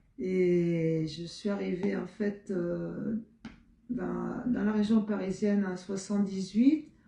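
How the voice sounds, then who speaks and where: Through noticeable background noise, a woman at medium pitch speaks at a very slow pace with ordinary pitch variation. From Marseille, southern France. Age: 70s. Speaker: retired basketball player and PE teacher. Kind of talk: interview. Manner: halting, many hesitations.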